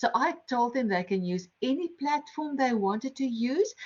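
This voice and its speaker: A woman's somewhat breathy voice with a strong non-native accent and very wide pitch swings. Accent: heavy non-native English. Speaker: lecturer and game-based learning workshop facilitator. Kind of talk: online workshop presentation.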